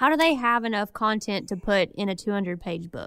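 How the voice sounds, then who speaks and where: A woman with a Southern US accent at a fairly slow pace, fairly high in pitch with ordinary pitch variation, on a very clean recording with a silent background. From Arkansas. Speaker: podcast co-host. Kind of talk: casual chat.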